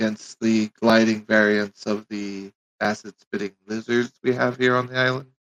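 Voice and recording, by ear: Against a quiet background, fairly even intonation marks this reading aloud in a natural voice.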